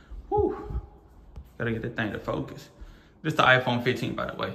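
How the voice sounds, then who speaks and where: Music plays in the background as a man speaks at a moderate pace with an American accent. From US South, Mississippi. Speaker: vlogger. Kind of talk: casual vlog talk to camera. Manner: animated. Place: home room. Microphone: phone near.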